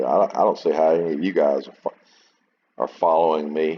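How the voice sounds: The voice has a slightly husky edge and moves at a moderate pace. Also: man.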